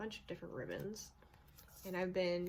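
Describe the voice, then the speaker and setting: A woman speaks at a fairly low pitch. Her intonation is fairly even. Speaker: video blogger on witchcraft. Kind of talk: casual show and tell. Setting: home with pets. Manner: slow; halting, many fillers.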